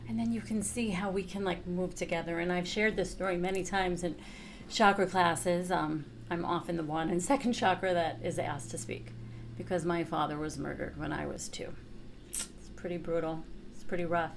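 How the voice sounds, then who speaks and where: A woman with a New York accent speaks at a fairly low pitch amid audible room echo. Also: ordinary pitch variation. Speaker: chakra teacher and therapist. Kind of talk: workshop teaching. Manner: casual, conversational.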